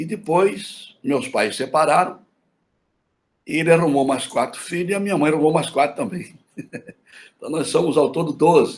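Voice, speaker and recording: Pausing often and at length, a man with a fairly high pitch talks at a moderate pace. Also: lively intonation. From Mato Grosso do Sul, Brazil (Campo Grande, Aquidauana). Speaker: pastor. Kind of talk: interview testimony.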